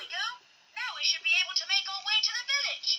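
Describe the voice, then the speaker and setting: This put-on character voice is squeaky and extremely high in pitch. It moves along at a fairly quick pace. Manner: over-enunciating.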